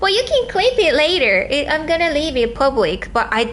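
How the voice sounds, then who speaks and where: Very wide pitch swings from a woman, with noticeable background noise behind her. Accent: Japanese. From southern Japan. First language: Japanese. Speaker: livestreamer. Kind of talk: livestream chat.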